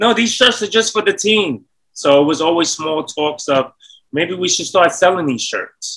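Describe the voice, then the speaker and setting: Speaking with a New York accent, a man uses a high pitch, a bright, sharp tone, lively intonation and a moderate pace. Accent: New York City. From Bronx, New York. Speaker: entrepreneur. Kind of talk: casual chat.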